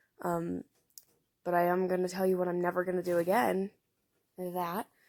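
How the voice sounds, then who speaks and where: A woman speaks with a fairly low pitch. Her intonation is monotone and flat. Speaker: cosplay makeup youtuber. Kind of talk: tutorial voiceover. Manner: flat, low-energy.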